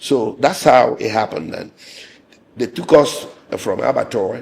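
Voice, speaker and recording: There is noticeable background noise in this clip. Through it, a man speaks at a moderate pace. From Nigeria. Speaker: lawyer. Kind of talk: interview. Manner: hesitant, with repetitions.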